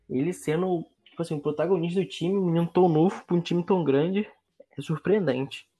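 Music is heard in the background. The talking proceeds at a moderate pace. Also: man. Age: 20s. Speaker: sports podcast co-host. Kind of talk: casual sports chat.

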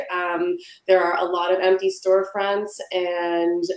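Over noticeable background noise, a woman speaks at a medium pitch and a fairly slow pace. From Ontario, Canada. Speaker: city council candidate. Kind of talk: candidate debate. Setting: video call.

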